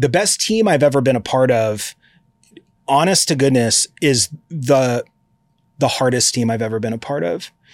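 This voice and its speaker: A man at a medium pitch speaks at a moderate pace with lively intonation and long, frequent pauses, the sound dry and close with no echo. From Eugene, Oregon, US Pacific Northwest. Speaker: brand marketing director. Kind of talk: interview at a live conference. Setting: conference room. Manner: casual, enthusiastic.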